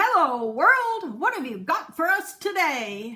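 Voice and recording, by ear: A loud, cheerful put-on character voice from a woman, extremely high-pitched, with very wide pitch swings and a fairly slow pace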